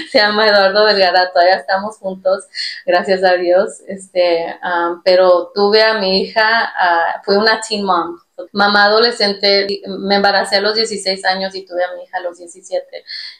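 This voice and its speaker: A woman talks at a moderate pace in a medium pitch, her intonation flat and monotone. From Texas, US, Mexican-American family from Zacatecas. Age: 30s. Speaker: podcast co-host. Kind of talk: testimony. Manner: halting, many fillers.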